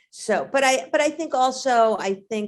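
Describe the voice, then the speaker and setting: A woman with a New York accent speaks at a very slow pace. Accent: heavy New York. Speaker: actor. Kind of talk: interview.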